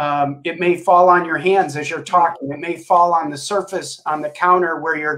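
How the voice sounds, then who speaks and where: A man with an unremarkable speaking voice speaks at a fairly slow pace, fairly high in pitch, with fairly even intonation. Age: 60s. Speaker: family physician. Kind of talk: live Q&A interview. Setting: live stream.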